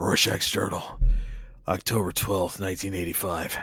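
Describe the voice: A man puts on a raspy character voice with a very deep, low pitch. His delivery is monotone and flat, at a moderate pace.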